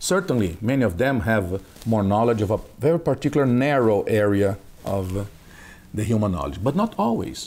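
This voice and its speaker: A man's plain, everyday voice at medium pitch, with lively intonation and a moderate pace. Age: 50s. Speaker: consciousness researcher and instructor. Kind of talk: interview.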